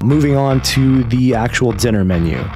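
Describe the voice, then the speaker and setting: With lively intonation, a man in an unremarkable speaking voice talks at a fairly slow pace. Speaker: food reviewer. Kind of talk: review commentary. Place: home room. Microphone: studio mic.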